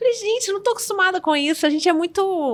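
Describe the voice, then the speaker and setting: In a Minas Gerais accent, a woman talks at a very fast pace with a bright, sharp tone. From Minas Gerais, Brazil. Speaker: podcast guest. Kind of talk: casual chat.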